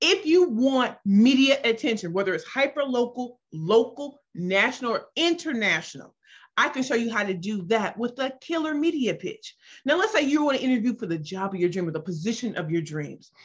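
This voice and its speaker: Speaking at a moderate pace, a woman with an American accent has a high pitch and an animated tone. Her pitch swings very widely, and the background is quiet. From US Midwest, St. Louis, Missouri. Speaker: business pitch coach. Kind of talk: self-introduction pitch / workshop talk. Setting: video call.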